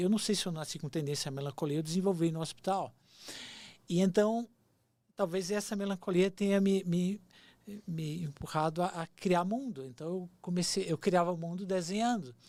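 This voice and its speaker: The recording is very clean, with a silent background. The speaking pace is moderate. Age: 60s. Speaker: screenwriter. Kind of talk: casual chat.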